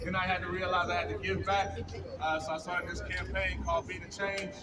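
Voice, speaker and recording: Someone with an American accent talks at a fairly quick pace amid audible room echo and noticeable background noise. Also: man. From Texas. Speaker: motivational speaker and musician. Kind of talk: rally speech. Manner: animated.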